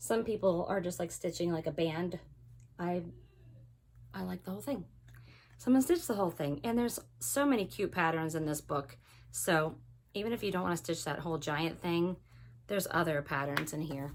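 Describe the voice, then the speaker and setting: Vocal fry and lively intonation at a fairly quick pace, broken by long, frequent pauses, on a very clean recording with a silent background. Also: woman, fairly low pitch for a woman. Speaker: cross stitch video host. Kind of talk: casual show-and-tell.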